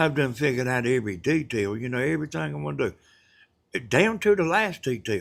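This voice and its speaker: Here a man talks at a fairly quick pace with a Southern US accent and very wide pitch swings. The recording is very clean, with a silent background. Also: medium pitch for a man. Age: 70s. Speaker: retired roofer and livestreamer. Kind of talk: casual livestream chat. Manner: halting, many fillers.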